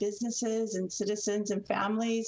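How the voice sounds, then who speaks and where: Noticeable noise runs in the background. Through it, a woman talks. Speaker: extension service economist. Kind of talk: radio interview.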